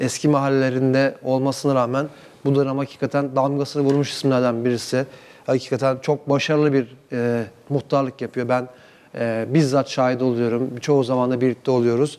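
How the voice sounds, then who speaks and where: At a moderate pace, a man speaks in a flat monotone, his loudness very even. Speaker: TV program host. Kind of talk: TV show introduction. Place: studio. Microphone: lapel.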